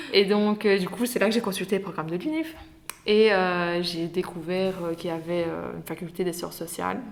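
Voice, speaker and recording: There is noticeable background noise behind a woman whose pitch varies in an ordinary way. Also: medium pitch for a woman, fairly quick pace. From Belgium, Liège area (Herstal). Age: 20s. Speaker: anthropology graduate. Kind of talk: podcast interview. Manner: hesitant, many fillers.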